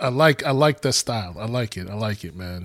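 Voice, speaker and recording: In a very clean recording with a silent background, a plain, everyday voice moves at a fairly quick pace with ordinary pitch variation. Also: man. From New York, born in Guyana, raised in US from young. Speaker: podcast co-host. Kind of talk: casual interview chat.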